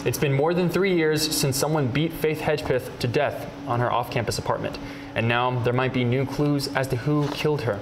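Speech at a fairly quick pace comes through noticeable background noise. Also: man. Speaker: student journalist. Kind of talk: TV news reporting and anchoring. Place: studio. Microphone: lapel.

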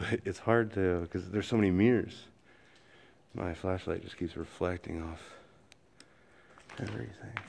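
There are big swings in loudness as a man with a very deep, low pitch talks at a moderate pace over light background noise. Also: ordinary pitch variation. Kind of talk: casual vlog commentary. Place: shop. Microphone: phone near.

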